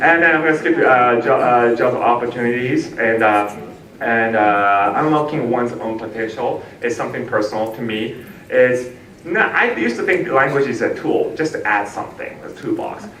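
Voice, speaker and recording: A man at a medium pitch with ordinary pitch variation, amid noticeable background noise and audible room echo. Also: moderate pace. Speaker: language teacher, keynote speaker. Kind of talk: keynote speech. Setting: conference stage with audience.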